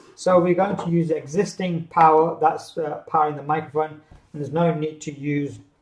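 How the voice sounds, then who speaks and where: A man talks at a fairly quick pace with fairly even intonation, accompanied by audible room echo and light background noise. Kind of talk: tutorial. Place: office. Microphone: camera far.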